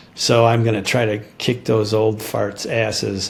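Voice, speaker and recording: His voice carries an American accent. There is audible room echo around the man as he talks. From Chicago, US Midwest. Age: 70s. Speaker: retired dentist turned farmer. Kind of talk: interview. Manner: halting, many fillers.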